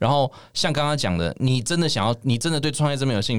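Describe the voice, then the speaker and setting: Talking at a very fast pace, a man keeps a medium pitch on a very clean recording with a silent background. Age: 30s. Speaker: craft brewery founder. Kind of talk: casual chat.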